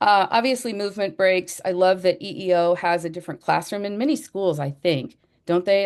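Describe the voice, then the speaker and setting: Using a plain, everyday voice, a woman speaks at a moderate pace with a fairly low pitch and ordinary pitch variation against a quiet background. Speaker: educator. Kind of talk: presentation.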